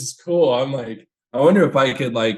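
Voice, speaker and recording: A man talks at a fairly quick pace. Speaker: podcast guest. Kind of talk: casual chat. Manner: loud; animated.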